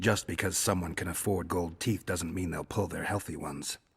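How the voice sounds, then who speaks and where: Putting on a character voice, a man speaks at a fairly quick pace with a very deep, low pitch and fairly even intonation. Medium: video game. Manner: dry, laconic.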